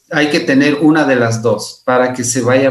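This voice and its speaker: A man speaks with fairly even intonation. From Ecuador, Imbabura. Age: 50s. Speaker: physician and researcher. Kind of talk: interview.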